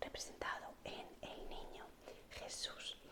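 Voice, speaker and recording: The voice is whispering. Background noise is noticeable. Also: woman. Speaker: art history teacher, ASMR creator. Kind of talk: whispered ASMR history lesson. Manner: whispered, soft.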